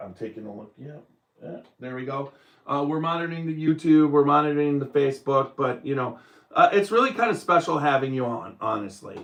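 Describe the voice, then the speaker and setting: Speaking fairly quickly in a normal speaking voice, a man with fairly high pitch and lively intonation shows big swings in loudness. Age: 60s. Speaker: bourbon podcast host. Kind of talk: casual chat. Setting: live stream.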